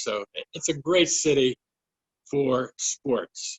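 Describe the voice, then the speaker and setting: A man with a fairly high pitch, ordinary pitch variation, and a Western Pennsylvania accent. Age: 70s. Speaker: sports writer. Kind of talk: recorded talk for virtual fundraising event.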